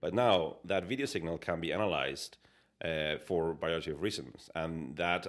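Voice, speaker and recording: A man with a Spanish accent and a very deep, low pitch, at a moderate pace. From Spain. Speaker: digital design executive. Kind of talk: casual interview.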